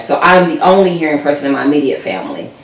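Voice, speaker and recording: With noticeable background noise and audible room echo, a woman speaks at a very deep, low pitch with ordinary pitch variation. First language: American Sign Language. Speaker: sign language interpreter. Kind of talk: interview. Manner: hesitant, many fillers.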